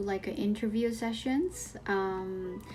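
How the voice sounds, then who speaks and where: A woman speaking very slowly with a Japanese accent, music in the background. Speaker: life coach. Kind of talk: casual vlog talk. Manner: halting, many fillers.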